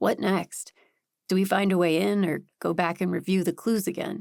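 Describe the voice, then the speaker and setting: A put-on character voice, raspy and held at a very even loudness, delivered at a moderate pace. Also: woman, medium pitch for a woman. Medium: read story. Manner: playful, easygoing.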